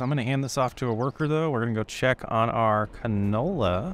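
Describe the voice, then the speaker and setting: The man has an ordinary speaking voice at medium pitch with ordinary pitch variation. His pace is moderate. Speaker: gaming YouTuber. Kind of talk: gameplay commentary. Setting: recorded gameplay at computer. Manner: narrating while playing.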